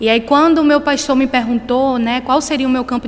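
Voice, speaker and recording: Her voice is high in pitch. This woman is heard over noticeable background noise. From Brazil, Pernambuco (small town of Pombos). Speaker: missionary. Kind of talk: sermon. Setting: church.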